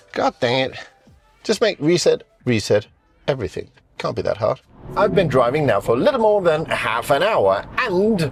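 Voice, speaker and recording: Over music in the background, a man speaks at a moderate pace, leaving long, frequent pauses. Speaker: car reviewer / channel host. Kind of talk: video review with driving commentary. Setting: outdoors, then inside a car.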